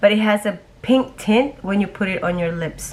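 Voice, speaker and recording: This woman's voice is somewhat breathy. Her pace is fairly slow. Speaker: beauty vlogger. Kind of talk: product review. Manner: halting.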